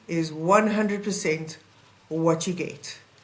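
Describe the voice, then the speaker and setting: With a South African accent, a woman speaks at a fairly slow pace and fairly low pitch with ordinary pitch variation amid audible room echo. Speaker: advocate, mediator and keynote speaker. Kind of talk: podcast interview.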